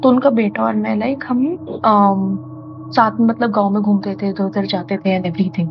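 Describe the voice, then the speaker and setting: Noticeable background noise sits behind a woman speaking at a moderate speed. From Delhi, India. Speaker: storyteller guest. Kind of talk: casual chat. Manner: halting.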